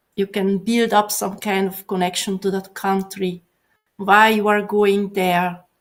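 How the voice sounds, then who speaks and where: A woman with a Hungarian accent and monotone, flat intonation. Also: medium pitch for a woman, fairly slow pace. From Hungary. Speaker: software professional. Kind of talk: casual chat. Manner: halting.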